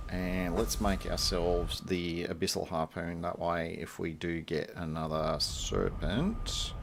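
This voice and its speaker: A man with an Australian accent talks at a fairly slow pace with hardly any pauses. Audible room echo surrounds his voice. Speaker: gaming streamer. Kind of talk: casual gameplay commentary. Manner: relaxed, filler-heavy.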